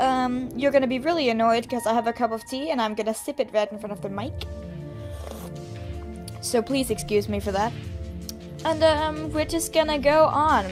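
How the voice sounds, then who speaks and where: A woman speaks with lively intonation and long, frequent pauses. Music plays in the background. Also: fairly high pitch for a woman, moderate pace. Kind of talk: casual let's play commentary.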